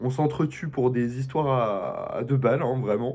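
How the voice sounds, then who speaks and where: A man's medium-pitched, somewhat breathy voice with fairly even intonation. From Belgium. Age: 20s. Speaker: student, reality show applicant. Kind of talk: casual self-presentation video.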